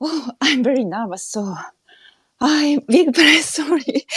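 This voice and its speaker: Speaking very slowly with a Japanese accent, a woman with a high pitch uses lively intonation in a dry, close recording with no echo. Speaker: quiz contestant. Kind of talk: casual chat. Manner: halting.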